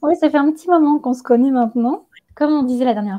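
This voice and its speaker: A woman's dark, mellow tone. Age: 30s. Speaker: yoga teacher and ayurveda practitioner. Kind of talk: interview. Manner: hesitant, many fillers.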